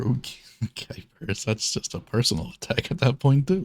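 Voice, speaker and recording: His voice has a somewhat breathy quality. The man moves at a moderate pace while his pitch swings very widely. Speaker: streamer. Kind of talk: casual chat.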